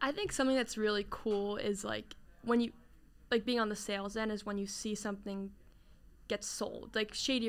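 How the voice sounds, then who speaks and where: A woman speaks in a New Jersey accent at a fairly high pitch. Her delivery is monotone and flat, at a moderate pace. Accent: New Jersey American. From New Jersey, Jersey Shore / Princeton area. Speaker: sales coordinator at a sports media company. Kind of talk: casual interview. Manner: casual, filler-heavy.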